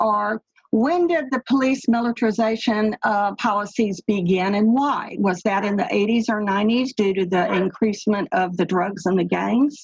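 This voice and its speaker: A woman with a slight Texas accent, fairly high pitch, lively intonation and a somewhat breathy voice at a fairly slow pace, in a dry, close sound with no echo. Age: 70s. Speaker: caller. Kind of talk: panel discussion.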